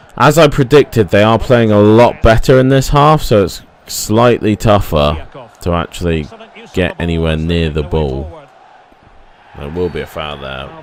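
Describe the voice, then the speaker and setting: Moderately paced male speech, fairly low in pitch with very wide pitch swings, over noticeable background noise. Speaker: gaming youtuber. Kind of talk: gameplay commentary. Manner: stuttering.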